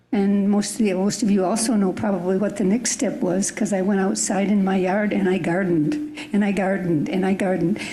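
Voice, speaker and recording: Delivered at a fairly quick pace with hardly any pauses, the speech carries audible room echo and noticeable background noise. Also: woman, medium pitch for a woman, ordinary pitch variation, very even loudness. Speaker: church member. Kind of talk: group discussion.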